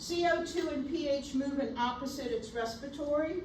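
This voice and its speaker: A woman at a high pitch with ordinary pitch variation and a moderate pace, in audible room echo. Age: 60s. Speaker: nursing instructor. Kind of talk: lecture.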